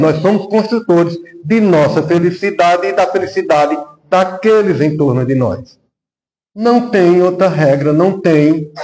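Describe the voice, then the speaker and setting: Speaking at a very slow pace, a man with a high pitch is heard amid audible room echo. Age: 60s. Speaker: spiritist lecturer. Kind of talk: sermon.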